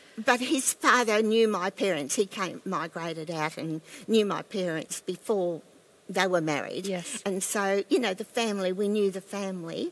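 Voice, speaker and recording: Over a silent background on a very clean recording, a woman with an Australian accent speaks at a medium pitch and moderate pace with lively intonation. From Australia, Queensland. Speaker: pastor's wife and former missionary. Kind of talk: casual interview about faith.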